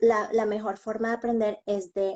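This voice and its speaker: Her pitch is medium for a woman. She speaks at a fairly slow pace. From Colombia. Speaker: bilingual schoolteacher. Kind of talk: interview.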